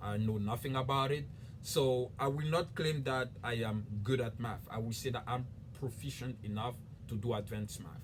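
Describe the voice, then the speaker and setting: Audible room echo surrounds a man with a West African accent who speaks somewhat breathily at a moderate pace and a medium pitch. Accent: French-speaking West African. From Ivory Coast. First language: French. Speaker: YouTuber. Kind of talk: casual explainer video.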